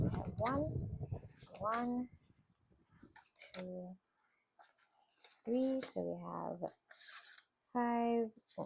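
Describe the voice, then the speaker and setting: A woman is speaking. She leaves long, frequent pauses. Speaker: budgeting vlogger, PhD student. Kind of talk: casual talk to camera.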